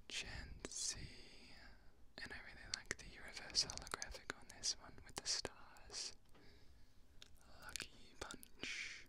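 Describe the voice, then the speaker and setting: A man is whispering at a very slow pace. Long, frequent pauses break up his words. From Australia. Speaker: ASMR YouTuber. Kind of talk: ASMR unboxing whisper video. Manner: whispered, soft-spoken. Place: home room. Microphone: studio mic.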